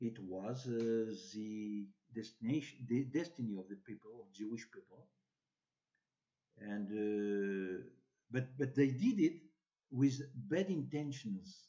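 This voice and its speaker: A man with a non-native accent speaks at a very slow pace, pausing long and often, his pitch medium with ordinary variation. His tone is dark and mellow, and his loudness swings widely. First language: French or Hebrew. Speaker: bible teacher. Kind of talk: religious teaching talk. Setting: social media video. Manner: halting.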